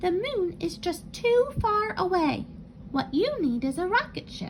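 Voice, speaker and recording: A woman performs a put-on character voice at an extremely high pitch. She speaks at a fairly slow pace over clear background noise. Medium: read story.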